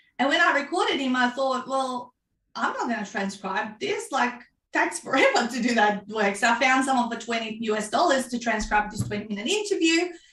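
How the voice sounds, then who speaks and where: A woman's high, bright, sharp voice with a Macedonian accent, lively intonation and a fairly quick pace. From North Macedonia. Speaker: author and book coach. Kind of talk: interview.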